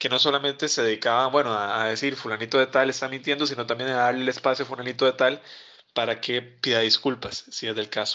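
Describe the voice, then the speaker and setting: Bright and sharp in tone, a man talks at a very fast pace with monotone, flat intonation and medium pitch. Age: 20s. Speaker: journalist and fact-checker. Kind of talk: interview. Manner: halting, frequent repetitions and fillers.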